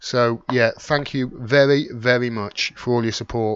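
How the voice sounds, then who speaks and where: A man at medium pitch speaks with monotone, flat intonation. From English Midlands, Wolverhampton. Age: middle-aged. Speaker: political commentator, YouTuber. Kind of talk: live stream Q&A, chatting to viewers. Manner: casual, hesitant with many fillers.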